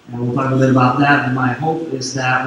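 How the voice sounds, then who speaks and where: A man speaks at a medium pitch with a slight French Canadian accent. Noticeable background noise and audible room echo fill the recording. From Quebec, Canada (Sherbrooke). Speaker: security consultant. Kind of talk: conference talk. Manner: hesitant, many fillers.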